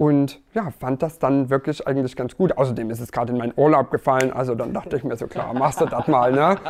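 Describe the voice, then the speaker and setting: With hardly any pauses, a man speaks at a very fast pace and a medium pitch. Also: ordinary pitch variation. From Erzgebirge, Saxony. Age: 30s. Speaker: dating show contestant. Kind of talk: casual interview.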